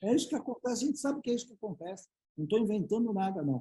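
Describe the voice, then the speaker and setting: The man's voice has a dark, mellow tone. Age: 60s. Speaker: business speaker and board advisor. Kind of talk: panel interview. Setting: live web broadcast.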